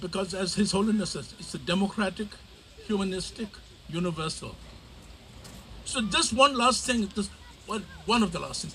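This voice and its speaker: Speaking in a Tibetan accent with a raised, projected voice, a high-pitched man talks at a moderate pace with long, frequent pauses, big swings in loudness, and ordinary pitch variation over noticeable background noise. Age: 70s. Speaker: community elder and activist. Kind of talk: rally speech.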